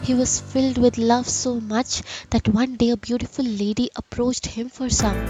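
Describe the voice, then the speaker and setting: Music plays in the background while a high-pitched woman speaks. Her intonation is monotone and flat, her pace moderate. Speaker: poet and voiceover artist. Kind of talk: poetry reading.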